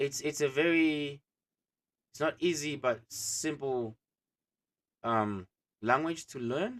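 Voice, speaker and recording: Speaking very slowly with long, frequent pauses, a man with a non-native accent and a fairly high voice shows ordinary pitch variation in a dry, close sound with no echo. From Africa. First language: not English. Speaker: co-host. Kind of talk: casual chat. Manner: halting.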